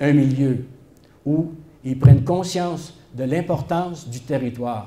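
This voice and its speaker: In a room with audible echo, a man speaks very slowly in a dark, mellow, somewhat breathy voice with fairly even intonation. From Quebec, Shawinigan. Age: 70s. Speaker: historian. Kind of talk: public talk. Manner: hesitant, many filler sounds.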